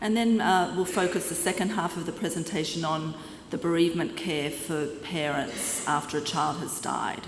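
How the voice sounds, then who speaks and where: Amid audible room echo and noticeable background noise, a woman with an Australian accent speaks slowly-ish at a fairly low pitch, keeping a fairly slow pace. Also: ordinary pitch variation. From Australia, Sydney. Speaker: clinical psychologist. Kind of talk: conference lecture. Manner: halting, with fillers.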